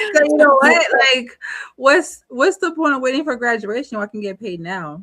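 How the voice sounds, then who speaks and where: In a Haitian accent, a woman speaks in a high voice at a moderate pace. Her pitch swings very widely and her loudness rises and falls sharply. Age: 30s. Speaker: entrepreneur and advocate. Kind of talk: interview.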